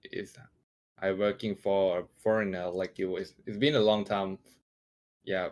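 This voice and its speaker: A man with a Thai accent at a moderate pace, fairly even intonation, and long, frequent pauses. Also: fairly low pitch for a man. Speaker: 3D motion graphics artist. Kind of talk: casual interview chat. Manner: halting, hesitant.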